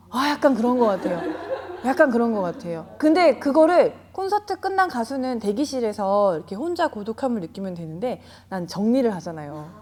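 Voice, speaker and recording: Over noticeable background noise, a woman with a fairly high pitch speaks at a moderate pace, her pitch swinging very widely. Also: big swings in loudness. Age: 40s. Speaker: jiu-jitsu gym owner. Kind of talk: interview answer.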